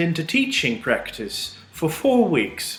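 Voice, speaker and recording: With audible room echo, a man talks at a very slow pace in a high pitch, his voice making very wide pitch swings. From Netherlands. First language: Dutch. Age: 20s. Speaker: postgraduate student. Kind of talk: student testimonial.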